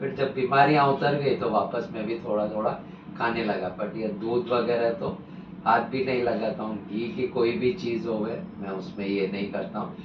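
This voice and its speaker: Male speech amid noticeable background noise, with audible room echo. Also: medium pitch for a man, lively intonation. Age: 60s. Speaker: real estate consultant, vegan advocate. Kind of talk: interview testimony.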